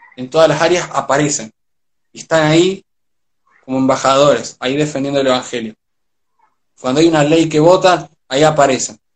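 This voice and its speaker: With an Argentine accent, a man speaks at a fairly high pitch and a fairly quick pace. His intonation is fairly even, broken by long, frequent pauses. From Argentina. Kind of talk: casual chat. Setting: live video stream.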